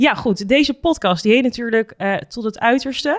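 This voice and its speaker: Very wide pitch swings in a woman's voice set fairly high. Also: quiet background. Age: 20s. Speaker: podcast host, reality TV contestant; podcast host. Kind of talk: casual interview. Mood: friendly, animated. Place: studio. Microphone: studio mic.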